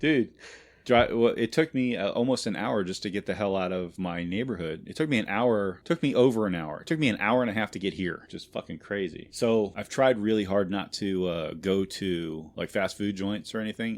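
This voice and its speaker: A man with a fairly low pitch speaks at a moderate pace with hardly any pauses, his tone animated and his pitch variation ordinary. The recording is very clean, with a silent background. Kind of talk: casual podcast banter. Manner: animated, profane storytelling.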